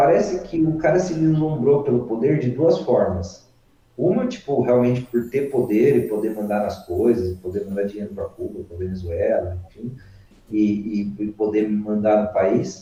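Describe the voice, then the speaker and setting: A man with a dark, mellow tone and somewhat breathy voice speaks at a medium pitch and moderate pace with lively intonation. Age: 30s. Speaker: horse-focused content creator. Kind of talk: casual chat. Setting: online live stream.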